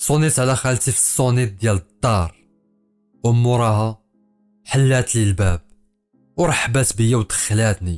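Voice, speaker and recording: Speaking with a Fez accent at a medium pitch, a man keeps his loudness very even and his pitch variation ordinary, leaving long, frequent pauses while music plays in the background. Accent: Moroccan Arabic (Fez). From Fez, Morocco. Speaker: storyteller, writer, poet. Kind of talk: first-person horror story narration.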